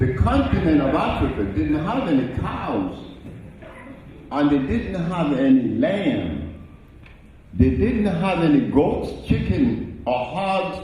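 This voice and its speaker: A man at a fairly high pitch, very slow with long, frequent pauses and very wide pitch swings, amid noticeable background noise and audible room echo. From Honduras. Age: 80s+. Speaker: health lecturer. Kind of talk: lecture. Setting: stage with audience.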